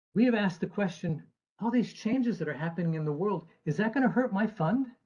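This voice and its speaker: This man talks at a very fast pace with an American accent. His pitch is high and his intonation lively. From United States. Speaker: actuary and chief investment officer speaking at an event. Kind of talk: presentation talk.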